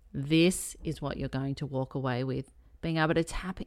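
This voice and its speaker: With an Australian accent, a woman speaks at a very deep, low pitch and a fairly slow pace with fairly even intonation, on a very clean recording with a silent background. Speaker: health and healing coach. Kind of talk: casual solo podcast chat.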